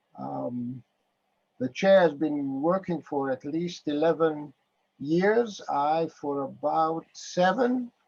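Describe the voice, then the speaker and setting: A man with a Greek accent speaks at a very slow pace in a fairly high voice with ordinary pitch variation. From Greece. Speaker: public banking activist, retired economics professor. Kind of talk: meeting discussion. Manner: halting.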